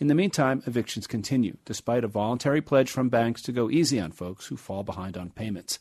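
A man with an unremarkable speaking voice talks at a fairly quick pace with a medium pitch and ordinary pitch variation, in a dry, close sound with no echo against a quiet background. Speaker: radio correspondent. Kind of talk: formal newsreading, scripted radio report delivered in a steady, polished broadcast voice. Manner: formal; measured, even-paced, clear and authoritative.

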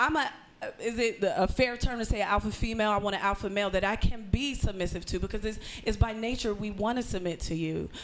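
Talking at a very fast pace, a woman with a fairly high pitch is heard over noticeable background noise. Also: ordinary pitch variation. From small town outside Pittsburgh. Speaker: comedian. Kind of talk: casual chat.

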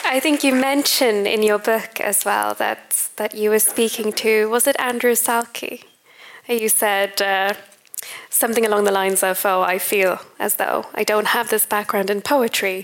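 The speech moves at a fairly slow pace, with very even loudness and fairly even intonation. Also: woman, fairly high pitch for a woman. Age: young. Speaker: interviewer and doctoral researcher. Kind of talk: onstage interview. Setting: stage with audience.

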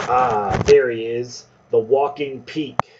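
A man puts on a gravelly character voice at a medium pitch and a fairly slow pace.

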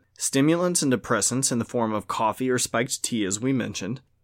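Recorded very cleanly against a silent background, a man with an American accent has an unremarkable speaking voice at medium pitch. He moves at a fairly quick pace with lively intonation. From Louisiana, US South (Cajun). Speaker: tabletop gaming podcast host. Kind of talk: casual chat.

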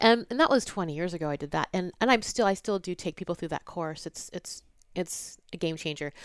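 With a normal speaking voice, a woman talks at a fairly quick pace and a fairly low pitch with ordinary pitch variation, on a very clean recording with a silent background. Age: 40s. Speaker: intuitive business coach. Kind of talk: interview.

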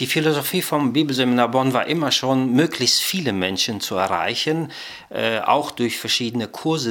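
A normal speaking voice from a man, medium in pitch, at a moderate pace with ordinary pitch variation. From Germany, came from Kazakhstan as child. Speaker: bible college director of studies. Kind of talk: interview.

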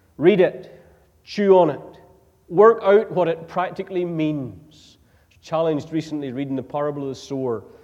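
Speaking at a moderate pace with a Northern Irish accent, a man uses a fairly high pitch and ordinary pitch variation. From Northern Ireland. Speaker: preacher. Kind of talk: sermon. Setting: church.

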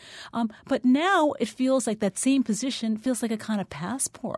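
The recording is very clean, with a silent background. A woman with an unremarkable speaking voice and a fairly high pitch talks at a moderate pace. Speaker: novelist. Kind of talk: radio interview. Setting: radio studio.

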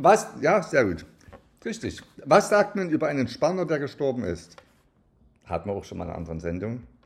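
A man's fairly high voice with vocal fry, very wide pitch swings, big swings in loudness, a moderate pace and long, frequent pauses. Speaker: podcast co-host. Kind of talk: casual chat. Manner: soft-spoken.

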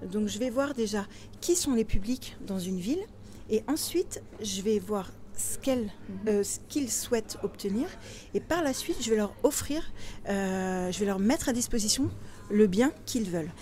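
A woman with a fairly high pitch speaks at a fairly slow pace, her intonation lively and broken by long, frequent pauses. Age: 40s. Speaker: property investor and blogger. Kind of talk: interview. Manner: animated.

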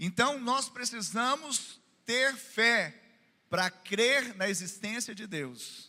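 A man's raised, projected voice, animated and bright with a sharp tone, full of very wide pitch swings. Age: 40s. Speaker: pastor. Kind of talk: sermon. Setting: church.

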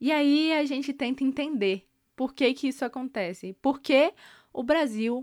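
A woman with a high pitch speaks at a fairly slow pace on a very clean recording with a silent background. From Brazil, Brasília. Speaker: journalism student, podcast host. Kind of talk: scripted narration. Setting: studio.

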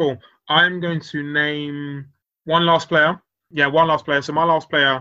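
A man with a fairly high pitch, monotone, flat intonation and a fairly slow pace. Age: 30s. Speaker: football podcast host. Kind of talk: casual chat.

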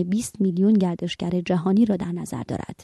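A woman with a dark, mellow tone and a somewhat breathy voice speaks at a moderate pace and fairly low pitch. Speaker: radio magazine host. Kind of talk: news reading. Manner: formal.

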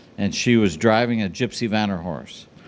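This man has a normal speaking voice with fairly low pitch. The pitch moves with ordinary variation. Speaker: pet products designer. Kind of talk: casual interview.

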